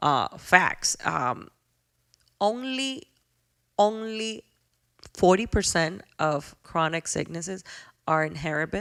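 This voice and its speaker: A woman with a Spanish accent speaks with lively intonation and big swings in loudness, leaving long, frequent pauses. The recording is very clean, with a silent background. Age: 40s. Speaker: podcast host. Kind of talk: podcast monologue. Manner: heartfelt, reflective.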